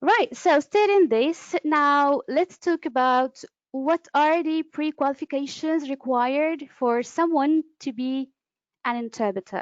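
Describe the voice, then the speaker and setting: A woman with an Arabic accent speaks at a fairly slow pace in a high pitch, her intonation lively. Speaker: conference interpreter and trainer. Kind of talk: webinar lecture. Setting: online webinar. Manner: hesitant, with fillers.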